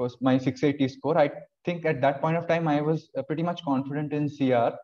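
Against a quiet background, a man talks at a moderate pace, his intonation fairly even. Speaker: interviewee. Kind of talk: interview answer. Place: home room. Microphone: video call.

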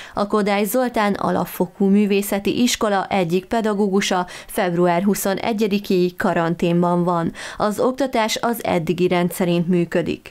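A woman speaks in a normal speaking voice at a medium pitch, with fairly even intonation and very even loudness. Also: fairly slow pace. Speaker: local TV news reader. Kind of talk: news reading.

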